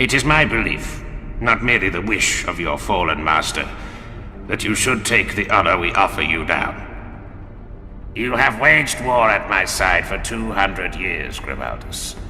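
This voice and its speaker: A man does a put-on character voice that sounds guttural, pitched fairly low. He talks at a moderate pace over clear background noise. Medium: audio drama. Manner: solemn, intoning.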